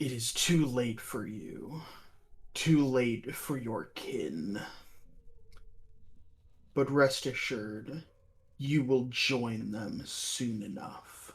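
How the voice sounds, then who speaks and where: A man puts on a raspy character voice at medium pitch. He talks at a very slow pace with long, frequent pauses. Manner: menacing.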